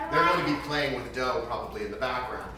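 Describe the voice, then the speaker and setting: Faint music plays in the background while a man speaks with audible room echo. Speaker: home cook host. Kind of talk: tutorial. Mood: playful, lighthearted. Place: kitchen. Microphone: camera far.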